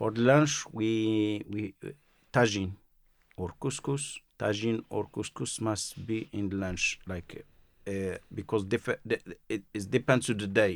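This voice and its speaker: Speaking with a Moroccan accent, a man talks at a fairly low pitch and a very slow pace, with ordinary pitch variation. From Morocco, Marrakesh. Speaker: chef. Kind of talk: interview. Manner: halting.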